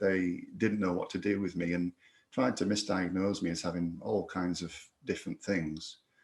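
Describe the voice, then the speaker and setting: A man in a Yorkshire accent talks with a very deep, low pitch and fairly even intonation. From northern England, Yorkshire. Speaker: reiki instructor and podcaster, concussion survivor. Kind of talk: recorded personal testimony. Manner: halting, many repetitions and fillers.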